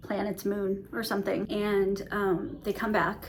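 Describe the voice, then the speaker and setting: A woman mumbling at a moderate pace, medium in pitch, with audible room echo. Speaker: book reviewer. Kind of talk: casual monthly book review vlog. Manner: mumbling, self-admitted; casual with many fillers.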